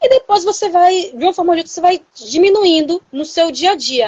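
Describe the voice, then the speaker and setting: A woman's extremely high pitch, lively intonation and fairly quick pace. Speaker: nutritionist. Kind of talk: health talk. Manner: hesitant with fillers.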